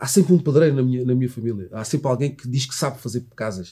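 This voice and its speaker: This man talks at a very fast pace with ordinary pitch variation, a somewhat breathy quality and a dark, mellow tone. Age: 40s. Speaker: former footballer, sports commentator. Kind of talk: casual interview.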